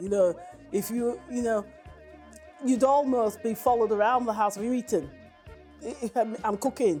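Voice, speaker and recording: Music plays in the background as a woman speaks. Her voice is fairly high, in a West Yorkshire accent. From West Yorkshire, Brighouse. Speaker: community interviewee. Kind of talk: personal testimony interview. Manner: hesitant, many fillers and repeats.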